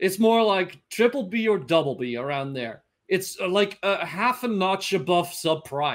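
Against a quiet background, a high-pitched man with a Dutch accent speaks at a fairly slow pace with lively intonation. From Netherlands. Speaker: finance analyst. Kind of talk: interview.

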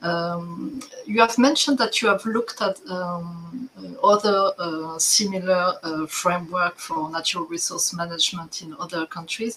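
A woman's medium-pitched voice with lively intonation and big swings in loudness, at a fairly slow pace over noticeable background noise. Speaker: development agency staff. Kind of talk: work meeting. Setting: video call.

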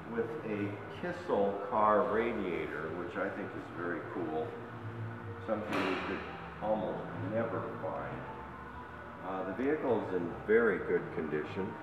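Ordinary pitch variation and long, frequent pauses mark this speech, which carries noticeable background noise and audible room echo. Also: man, fairly slow pace. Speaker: seller presenting a vehicle. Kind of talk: walkaround sales commentary. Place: hall. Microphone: phone near.

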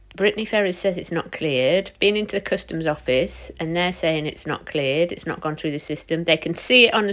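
Against a quiet background, a woman talks at a fairly quick pace with a fairly low pitch. She has an ordinary speaking voice and ordinary pitch variation. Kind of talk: casual vlog chat. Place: car. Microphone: phone near.

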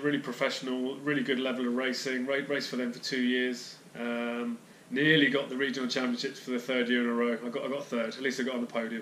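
With a southern English accent, a man speaks in a monotone, flat intonation amid audible room echo and light background noise. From Hertfordshire, England. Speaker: fitness and nutrition youtuber, amateur cyclist. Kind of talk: casual monologue to camera. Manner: halting, many fillers. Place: home room.

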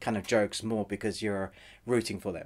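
A man speaks at a fairly quick pace. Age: 40s. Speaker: film and TV reviewer; TV reviewer. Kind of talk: video review. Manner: fast. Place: home room.

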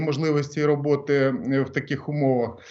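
A man with a fairly high pitch delivers his words at a moderate rate. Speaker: former government minister. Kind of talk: radio interview. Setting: phone call. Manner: halting.

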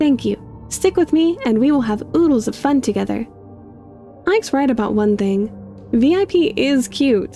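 Over music in the background, a woman speaks at a high pitch with very wide pitch swings. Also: moderate pace. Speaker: YouTube lore theorist. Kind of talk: read story.

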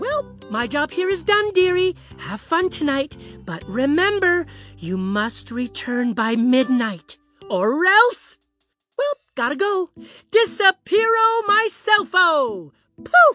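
A cheerful, cartoonish character voice, female-sounding and high in pitch, at a fairly slow pace with faint music in the background. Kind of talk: comic children's puppet theater. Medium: puppet show. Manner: cheerful, grandmotherly, fussy.

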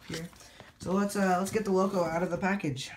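Noticeable background noise under a woman's voice. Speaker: model train reviewer. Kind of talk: product review. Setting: home layout room. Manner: casual, animated.

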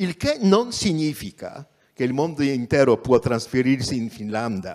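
Over a quiet background, the speaker talks fairly slowly in a Polish accent with very wide pitch swings. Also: man. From Poland. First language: Polish (speaking Italian). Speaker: journalist and activist; journalist. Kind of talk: lecture. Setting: theatre stage, livestreamed. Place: stage. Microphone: handheld.

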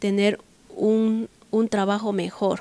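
A woman speaks at a fairly high pitch in a dark, mellow tone, with a dry sound and no echo. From Ecuador, Macas, Morona Santiago province; Morona Santiago, Ecuador. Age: young. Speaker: blind university student; interviewee. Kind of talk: interview testimony. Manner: halting, many fillers. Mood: calm, earnest. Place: home room. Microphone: handheld.

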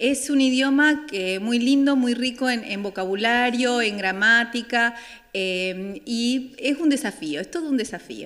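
Against a quiet background, a woman speaks at a very slow pace. Her pitch is high, with ordinary pitch variation. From Argentina, Santa Fe province (Franck). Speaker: German language teacher. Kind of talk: interview. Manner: hesitant, with many fillers. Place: hall.

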